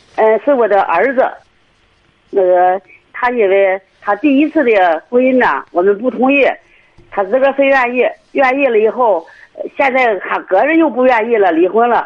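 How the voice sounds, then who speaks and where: A woman with a fairly high pitch talks at a moderate pace, her intonation lively and her loudness very even. She leaves long, frequent pauses. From Cangzhou, Hebei. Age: 60s. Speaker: caller seeking family advice. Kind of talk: phone-in call.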